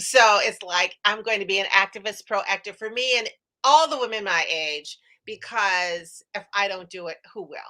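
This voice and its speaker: At a moderate pace, a woman with a medium-pitched voice and a bright, sharp tone talks with ordinary pitch variation and big swings in loudness. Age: 70s. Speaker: actress and positive aging activist. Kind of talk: interview conversation. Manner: rambling, goes off on tangents.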